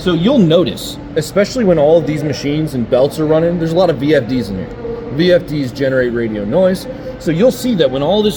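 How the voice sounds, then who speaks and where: The pitch swings very widely at a fairly quick pace. Noticeable background noise sits behind the voice. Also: man. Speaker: equipment trainer. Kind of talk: on-site training demonstration. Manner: fast.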